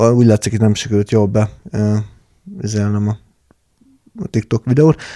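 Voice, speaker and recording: A man's fairly low, dark, mellow voice with fairly even intonation and long, frequent pauses, in a dry, close sound with no echo. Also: moderate pace. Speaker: podcast co-host. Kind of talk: casual chat.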